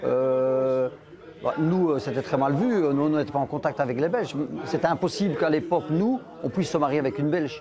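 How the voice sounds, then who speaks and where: Fairly quick speech with ordinary pitch variation and very even loudness over noticeable background noise. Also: man, fairly high pitch for a man. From Charleroi, Belgium (Spanish immigrant family). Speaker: interviewee, son of immigrants. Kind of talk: documentary interview. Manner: halting, many hesitations.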